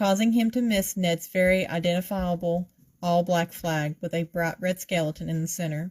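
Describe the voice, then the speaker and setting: A plain, everyday voice talks at a fairly slow pace, with a dry, close sound with no echo. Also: woman. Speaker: author. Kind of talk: reading aloud. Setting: livestream video.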